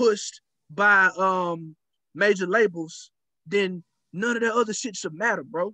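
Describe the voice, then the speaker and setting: An American-accented man projects a raised, high voice with a bright, sharp tone and ordinary pitch variation. He talks fairly slowly, with long, frequent pauses. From southern Oklahoma, US. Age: 30s. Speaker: podcast host. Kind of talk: casual interview conversation. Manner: animated, emphatic rant; many repetitions and false starts.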